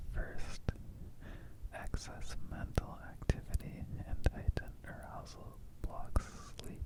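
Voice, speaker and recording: Amid noticeable background noise, a man whispers in a gentle tone at a very slow pace, with long, frequent pauses. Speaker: ASMR artist. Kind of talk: ASMR informational narration. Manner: whispered; soft, gentle.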